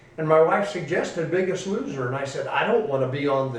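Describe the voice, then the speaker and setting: Amid noticeable background noise and audible room echo, a man with an American accent speaks in a high pitch with ordinary pitch variation. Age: 60s. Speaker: pastor. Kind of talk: testimony.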